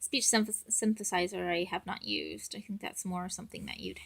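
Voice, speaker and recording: Speaking softly, a woman moves along at a fairly quick clip. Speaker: parent making app tutorial. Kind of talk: tutorial. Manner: soft-spoken. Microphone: audio issues.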